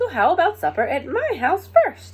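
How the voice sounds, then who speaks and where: A put-on character voice, squeaky and extremely high in pitch, at a moderate pace. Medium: read story. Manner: eager.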